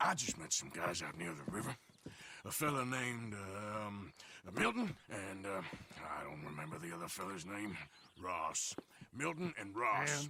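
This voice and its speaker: A man puts on a raspy character voice at a fairly low pitch, swinging very widely in pitch. He keeps a moderate pace, broken by long, frequent pauses. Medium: video game.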